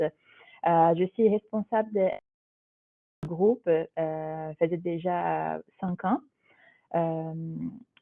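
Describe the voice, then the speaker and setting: Speaking in a Brazilian accent, this voice moves at a very slow pace with long, frequent pauses and fairly even intonation. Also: woman, fairly low pitch for a woman. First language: Portuguese (speaking French). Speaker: corporate HR digital manager. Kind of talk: webinar presentation. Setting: live online webinar. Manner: hesitant, many fillers.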